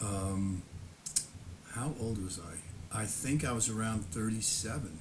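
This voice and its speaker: Speech comes at a very slow pace with ordinary pitch variation, audible room echo and noticeable background noise. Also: man. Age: 70s. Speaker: YouTuber recounting personal history. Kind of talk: casual monologue. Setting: home, seated in lawn chair before camera. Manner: halting.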